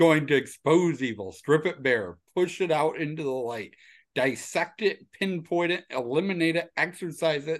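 A man's plain, everyday voice, fairly high in pitch, at a moderate pace with ordinary pitch variation and big swings in loudness over a quiet background. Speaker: guest. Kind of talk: casual banter podcast chat.

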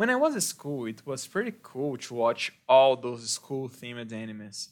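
In a very clean recording with a silent background, a man speaks with a Brazilian Portuguese accent and very wide pitch swings. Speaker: English teacher and podcast host. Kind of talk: monologue for English learners. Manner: slow.

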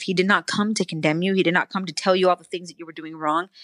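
A woman speaks at a fairly low pitch with fairly even intonation. The sound is dry and close with no echo, against a quiet background. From US West Coast, San Francisco Bay Area; moved to Arizona at 13. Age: 30s. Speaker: podcast guest. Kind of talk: casual chat. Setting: video call.

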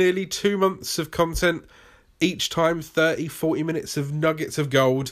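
A man with a British accent talks at a fairly slow pace. His pitch is fairly high, with ordinary variation. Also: very clean recording, silent background. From Britain. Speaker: YouTube creator and podcast host. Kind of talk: solo podcast monologue, tutorial. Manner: humorous, casual, rambling.

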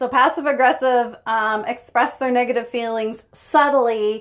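With a quiet background, a woman talks at a fairly high pitch in fairly even intonation. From Prince Edward Island, Canada. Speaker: podcast co-host. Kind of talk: casual chat. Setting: sauna.

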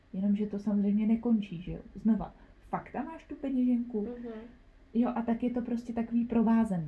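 Delivery comes at a moderate pace with fairly even intonation. Loudness swings widely. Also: woman, fairly high pitch for a woman. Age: 20s. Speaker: nursery school teacher. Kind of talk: personal testimony interview. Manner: halting, many fillers.

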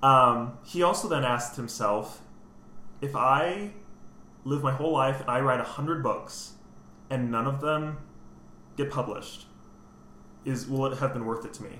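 Long, frequent pauses break up speech at a moderate pace with ordinary pitch variation, audible room echo and noticeable background noise. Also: man, medium pitch for a man. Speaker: composer. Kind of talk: casual chat.

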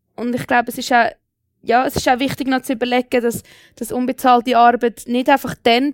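At a moderate pace, a woman speaks in a high pitch, her sound dry and close with no echo on a very clean recording with a silent background. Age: 20s. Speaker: young local politician. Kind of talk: panel debate.

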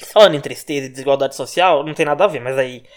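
This man's voice sits fairly high in pitch. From Brazil, Minas Gerais. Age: 20s. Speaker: podcast host, gossip journalist. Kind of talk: casual solo monologue.

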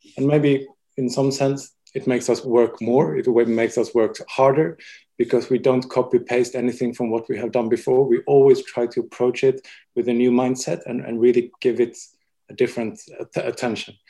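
Here a man talks with a Swedish accent. His pace is moderate. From Sweden. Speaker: interior designer. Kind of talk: casual interview.

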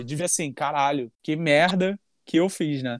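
On a very clean recording with a silent background and a dry, close sound with no echo, a man speaks at a fairly slow pace with lively intonation. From Rio de Janeiro, Campo Grande. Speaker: podcast host. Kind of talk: casual chat.

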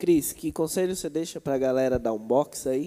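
Speech unfolds at a moderate pace. Its tone is dark and mellow. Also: man. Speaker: youth church leader. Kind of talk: casual chat. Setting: livestream.

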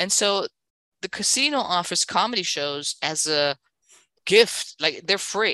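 Bright and sharp in tone, a woman at medium pitch speaks at a fairly slow pace with lively intonation and long, frequent pauses. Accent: German. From Berlin, Germany. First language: German. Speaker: stand-up comedian. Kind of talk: casual chat.

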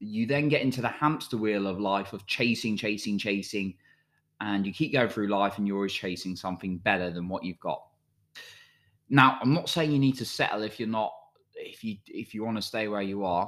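An ordinary speaking voice from a man, fairly low in pitch with ordinary pitch variation and a moderate pace, on a very clean recording with a silent background. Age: 30s. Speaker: self-help podcast host. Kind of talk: motivational monologue.

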